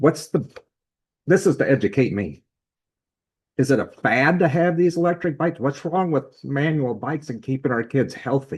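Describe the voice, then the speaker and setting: A man with an American accent speaks in a fairly high, somewhat breathy voice. He takes long, frequent pauses. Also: ordinary pitch variation, moderate pace. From US Midwest, Sergeant Bluff, Iowa. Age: 60s. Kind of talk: council meeting discussion. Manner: halting.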